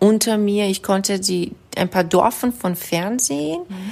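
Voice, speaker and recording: A woman speaks with a Persian accent and fairly even intonation. The recording is very clean, with a silent background. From Iran. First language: Persian (speaking German). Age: 30s. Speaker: psychologist. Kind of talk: casual interview. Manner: halting.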